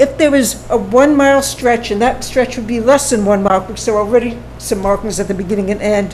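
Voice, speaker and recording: With noticeable background noise in the mix, a woman talks at a moderate pace, her intonation fairly even. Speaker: public commenter at town meeting. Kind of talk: public comment at town board meeting. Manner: halting.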